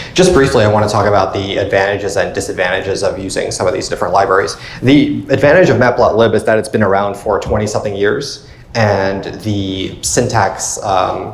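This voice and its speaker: A man with an American accent and a fairly low pitch, ordinary pitch variation and a fairly quick pace, over noticeable background noise. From Long Island, New York. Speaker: political consultant and startup co-founder. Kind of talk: technical talk presentation.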